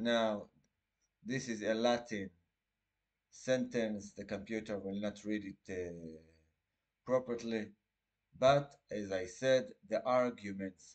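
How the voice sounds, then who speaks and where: A man's fairly low voice in an Israeli accent, very slow, broken by long, frequent pauses. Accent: Israeli Hebrew. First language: Hebrew. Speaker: litigant representing himself. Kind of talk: casual explanatory talk. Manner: halting.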